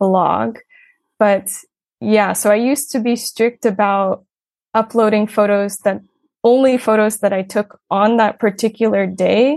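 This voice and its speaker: A woman speaks in a plain, everyday voice at a medium pitch and a fairly slow pace. Her intonation stays fairly even against a quiet background. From United States. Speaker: English teacher and blogger. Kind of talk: casual interview.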